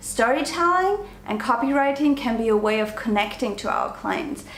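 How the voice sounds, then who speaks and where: With a non-native accent, a woman speaks at a fairly slow pace and a fairly high pitch. Audible room echo and noticeable background noise fill the recording. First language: not English. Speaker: online business coach and vlogger. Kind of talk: talking-to-camera tutorial. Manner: animated.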